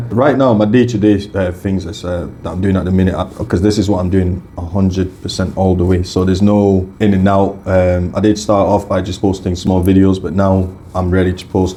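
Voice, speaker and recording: Hardly pausing, a man talks at a fairly quick pace in a very deep, low pitch with monotone, flat intonation. Room echo is audible, and background noise is noticeable. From Scotland, came to UK young from Africa. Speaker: YouTuber and content creator. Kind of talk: radio interview. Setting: radio studio. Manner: halting.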